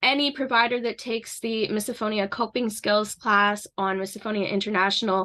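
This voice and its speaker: A woman with a Canadian accent speaks at a fairly quick pace in a bright, sharp tone and a fairly high pitch. Her intonation is fairly even, and the background is quiet. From Canada. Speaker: misophonia advocate and counseling student. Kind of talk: informal educational talk to camera.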